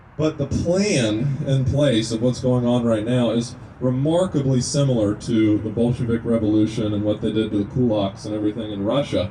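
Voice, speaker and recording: Over noticeable background noise, a man with a medium pitch and ordinary pitch variation speaks at a moderate pace with hardly any pauses. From Kentucky. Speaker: naturopathic medicine student, activist speaker. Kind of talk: speech to a gathering. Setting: outdoors at a rest stop.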